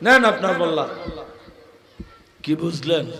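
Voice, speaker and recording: A man speaks in a raised, projected voice. His pitch swings very widely. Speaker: Islamic preacher. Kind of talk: waz sermon.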